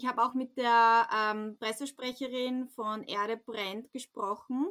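Speaking very slowly, a woman uses a fairly high pitch with a bright, sharp tone and fairly even intonation. The recording is very clean, with a silent background. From rural Austria. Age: 30s. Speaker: radio journalist. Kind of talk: interview.

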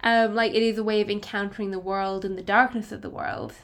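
With an Irish accent, a woman speaks fairly quickly at a fairly high pitch. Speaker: podcast co-host. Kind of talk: casual chat.

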